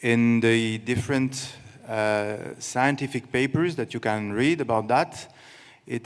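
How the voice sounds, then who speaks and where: A man is speaking. He has a French accent. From France. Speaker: water organization official. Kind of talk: press conference answer. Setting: stage with audience. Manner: halting.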